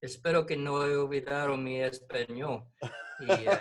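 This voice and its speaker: A fairly high-pitched man with an English accent, at a fairly slow pace. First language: English (speaking Spanish). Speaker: missions coordinator. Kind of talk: devotional talk in a video meeting.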